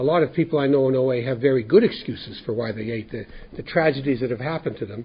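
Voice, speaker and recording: Somewhat breathy and with a Canadian accent, the speaker talks at a very fast pace with ordinary pitch variation. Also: man, medium pitch for a man. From central Canada (Winnipeg, Manitoba). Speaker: 12-step group speaker. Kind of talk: testimony. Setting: workshop with live audience. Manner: halting, many repeated words.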